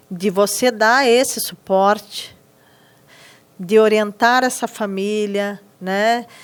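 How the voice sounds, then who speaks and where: A woman's fairly high voice at a very slow pace, with long, frequent pauses, fairly even intonation and a very clean recording with a silent background. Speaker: teacher in inclusive education. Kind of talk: podcast interview.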